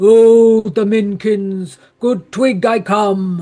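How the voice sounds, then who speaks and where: Using a put-on character voice, a man speaks very slowly in a high pitch with fairly even intonation. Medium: audio drama. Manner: blasting, authoritative.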